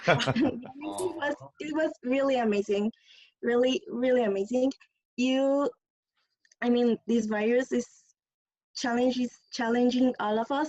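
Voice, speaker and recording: A woman with a Spanish accent speaks fairly slowly in a high voice, with ordinary pitch variation and long, frequent pauses. The sound is dry and close, without echo. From Mexico. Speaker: audience member. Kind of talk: casual chat. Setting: video call.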